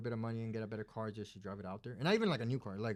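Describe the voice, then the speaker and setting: A man with a Spanish accent speaks at a medium pitch with fairly even intonation, on a very clean recording against a silent background. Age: 20s. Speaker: plumber and business owner. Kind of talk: casual chat. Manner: halting, many fillers.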